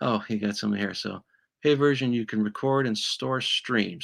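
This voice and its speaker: A man's bright, sharp tone with fairly even intonation on a very clean recording with a silent background. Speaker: YouTuber doing equipment repair videos. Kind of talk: live stream equipment test chat. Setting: home studio live stream. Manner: halting, many fillers and restarts.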